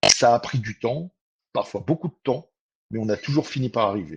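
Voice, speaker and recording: Over a quiet background, a man with a somewhat breathy voice speaks at a moderate pace with lively intonation. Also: dry, close sound with no echo. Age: 60s. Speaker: train commuter. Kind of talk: testimony.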